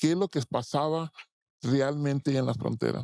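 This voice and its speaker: A man's dark, mellow tone comes through with fairly even intonation in a dry, close sound with no echo. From Tijuana, Mexican border. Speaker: muralist. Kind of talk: interview. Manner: halting, many repetitions.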